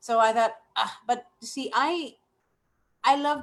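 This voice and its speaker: Her tone animated, a woman speaks. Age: 60s. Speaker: network marketing member. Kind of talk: testimony. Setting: live webinar.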